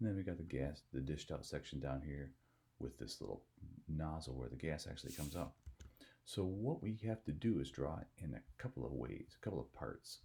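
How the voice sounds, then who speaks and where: A quiet, dark, mellow tone with vocal fry, at a fairly quick pace. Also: man, very deep, low pitch for a man, lively intonation. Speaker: software tutorial teacher. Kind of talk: tutorial. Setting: at home. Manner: speaking quietly.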